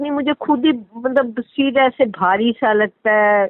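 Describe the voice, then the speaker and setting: Her pitch rises and falls in an ordinary way. A woman is speaking. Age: 60s. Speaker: caller seeking spiritual advice. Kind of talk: question and answer chat.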